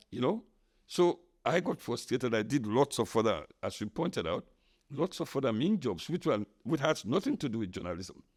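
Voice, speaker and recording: In a Sierra Leonean accent, a man speaks at a medium pitch and a moderate pace with very wide pitch swings and vocal fry, on a very clean recording with a silent background. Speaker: podcast host, veteran journalist. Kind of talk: casual interview chat.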